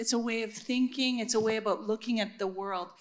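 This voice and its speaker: An unremarkable speaking voice from a woman, fairly high in pitch with ordinary pitch variation. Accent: Canadian. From Regina, Saskatchewan, Canada. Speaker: neuroscientist and university administrator. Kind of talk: panel discussion.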